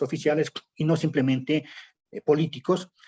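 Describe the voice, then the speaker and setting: This man's voice is somewhat breathy and fairly high in pitch. He speaks at a moderate pace with a dry, close sound and no echo. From Bolivia, El Alto / La Paz. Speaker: political activist and writer. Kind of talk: academic panel talk. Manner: hesitant, many fillers.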